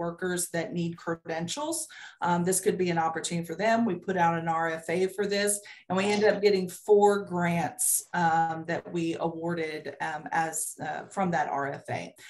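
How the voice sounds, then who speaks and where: A woman with a normal speaking voice, at a moderate pace with hardly any pauses and fairly even intonation. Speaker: state agency program official. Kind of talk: video-call committee meeting presentation. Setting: video call.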